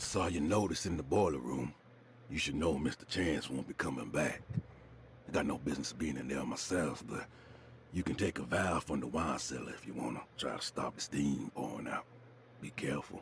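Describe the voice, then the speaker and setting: Over clear background noise, a man does a put-on character voice that is raspy and very deep, moving at a moderate pace. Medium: video game. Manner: terse, cautious.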